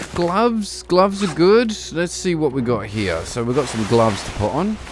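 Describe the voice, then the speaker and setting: With audible room echo and noticeable background noise, a man with a fairly high pitch speaks at a moderate pace, his pitch swinging very widely. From Britain. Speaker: gaming streamer. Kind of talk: gameplay commentary. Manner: casual, relaxed.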